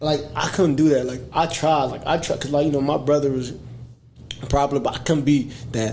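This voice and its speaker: A man's fairly high voice at a fairly quick pace, amid noticeable background noise and audible room echo. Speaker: podcast host. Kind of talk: casual chat.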